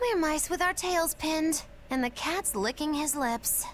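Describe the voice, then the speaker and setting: A put-on character voice pitched high moves at a moderate pace. Background noise is clearly audible. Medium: video game. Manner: theatrical, wry.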